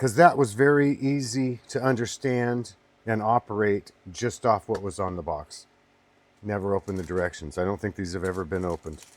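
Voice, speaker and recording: A man with an ordinary speaking voice speaks at a fairly low pitch. His pace is fairly quick, with lively intonation. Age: 60s. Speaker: online seller demonstrating item. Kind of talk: product demonstration. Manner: casual, with filler words.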